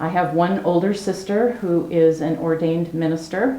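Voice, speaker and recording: Speaking at a moderate pace with an American accent, a woman with a fairly low pitch uses ordinary pitch variation, and audible room echo surrounds her voice. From US Pacific Northwest (Salem, Oregon). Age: 70s. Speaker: criminologist. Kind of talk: oral history interview.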